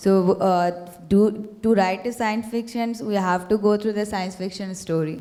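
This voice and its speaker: This woman speaks with a Bengali accent in a dark, mellow tone. Her intonation stays fairly even. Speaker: student panelist. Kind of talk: panel discussion. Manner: halting, many fillers.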